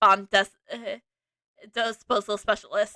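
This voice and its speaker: This is a put-on robotic character voice. It moves at a fairly slow pace with fairly even intonation. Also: woman, fairly high pitch for a woman. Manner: halting, mechanical.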